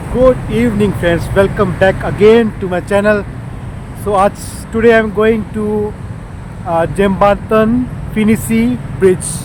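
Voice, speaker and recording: With an Indian accent, the speaker goes at a fairly slow pace with long, frequent pauses, over noticeable background noise. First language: Hindi. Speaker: travel vlogger. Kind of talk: walking tour vlog. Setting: outdoors on a bridge in the city. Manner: halting, many fillers.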